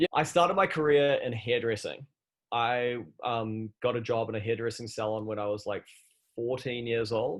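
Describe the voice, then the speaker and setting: A man with a New Zealand accent, medium pitch, ordinary pitch variation and a moderate pace. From New Zealand, Christchurch. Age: 30s. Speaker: fashion entrepreneur. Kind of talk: podcast interview.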